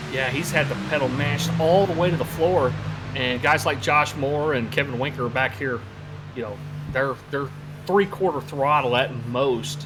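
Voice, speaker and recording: Music plays in the background and the room echo is audible as a fairly high-pitched man speaks at a moderate pace with ordinary pitch variation. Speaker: sim racing commentator. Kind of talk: live commentary.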